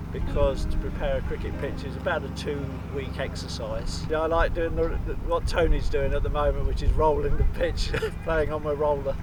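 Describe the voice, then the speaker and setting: Against noticeable background noise and audible room echo, a man talks with hardly any pauses. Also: moderate pace. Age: 60s. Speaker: cricket groundsman volunteer. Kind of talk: interview testimony.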